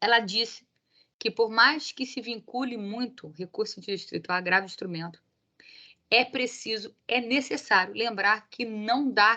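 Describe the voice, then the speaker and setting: A woman's fairly high pitch, bright, sharp tone and ordinary pitch variation. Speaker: law professor. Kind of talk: lecture. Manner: fast; animated.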